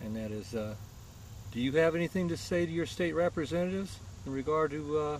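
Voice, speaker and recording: Somewhat breathy and fairly high-pitched, a man talks at a fairly quick pace with very wide pitch swings. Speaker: interviewer, cannabis patient advocate. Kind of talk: interview question.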